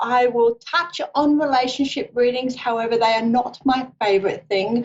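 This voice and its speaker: At a moderate pace and very even loudness, a woman with an Australian accent speaks at a high pitch with ordinary pitch variation. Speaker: psychic reader. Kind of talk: live psychic radio show introduction. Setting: live stream with camera.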